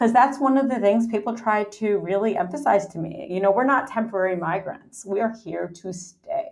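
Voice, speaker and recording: A woman speaks with an American accent and a fairly high pitch. Hers is a normal speaking voice, with ordinary pitch variation. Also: moderate pace. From New York City. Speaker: anthropology professor. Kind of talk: interview.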